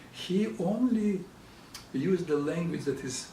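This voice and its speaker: A man with a Russian accent, audible room echo and noticeable background noise. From Russian-speaking country. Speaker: psychologist. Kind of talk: educational talk.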